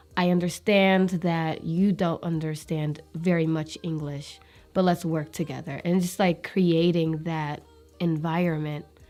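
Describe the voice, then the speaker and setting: The delivery is monotone and flat at a fairly slow pace. Music plays in the background. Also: woman, fairly low pitch for a woman. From Eritrean family, raised in America. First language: Tigrinya. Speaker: nurse. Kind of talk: interview answer.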